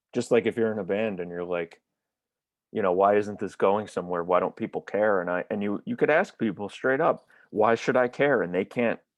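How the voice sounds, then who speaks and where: A man with an American accent uses a plain, everyday voice, fairly low in pitch with ordinary pitch variation, at a moderate pace. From New York. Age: 20s. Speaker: touring drummer and drum teacher. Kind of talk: casual interview chat.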